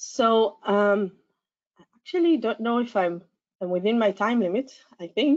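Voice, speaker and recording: A woman's fairly high voice with lively intonation, fairly slow pace and long, frequent pauses. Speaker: science education researcher. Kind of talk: conference talk. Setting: conference.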